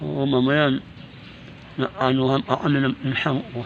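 A man talks at a fairly slow pace with a fairly high pitch. There is noticeable background noise. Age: 60s. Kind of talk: casual vlog talk to camera.

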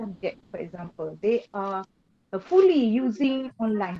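This woman talks at a very slow pace. Her voice is fairly high, with a dark, mellow tone. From Malaysia. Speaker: lecturer. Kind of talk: audience question. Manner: halting. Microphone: video call.

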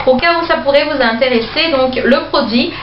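A woman speaks at a high pitch with ordinary pitch variation. The recording has audible room echo and light background noise. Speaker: beauty vlogger. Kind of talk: product review haul. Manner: slow, chatty with many fillers. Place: home room. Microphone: phone near.

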